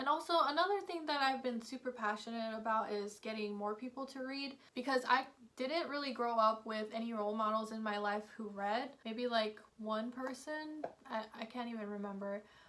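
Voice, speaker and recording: Noticeable background noise sits behind a woman with an American accent. Her pitch is fairly high, with ordinary variation, and her pace is moderate. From US, Filipino American family. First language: Kapampangan. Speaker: book vlogger. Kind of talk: casual vlog talk to camera.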